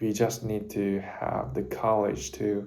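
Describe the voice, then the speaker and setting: Amid audible room echo, a man with a Japanese accent speaks in a fairly low pitch and a dark, mellow tone with lively intonation. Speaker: university student vlogger. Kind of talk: casual talk to camera. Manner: halting, self-correcting.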